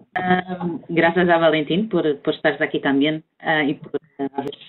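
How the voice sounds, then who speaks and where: Speaking with a Portuguese accent, a woman keeps a moderate pace. Her intonation is fairly even. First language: Portuguese (speaking Spanish). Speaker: environmental consultant. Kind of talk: webinar presentation. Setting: video call.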